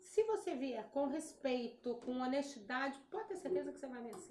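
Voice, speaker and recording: A woman with a high-pitched voice speaks at a moderate pace, her tone dark and mellow and her intonation lively. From Espírito Santo, Brazil. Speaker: event planner and business owner. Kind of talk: interview.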